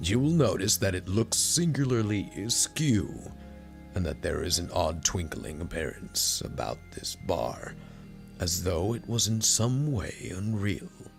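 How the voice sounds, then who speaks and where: A man's put-on character voice, fairly low in pitch and fairly slow, with clear music in the background. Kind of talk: audiobook reading.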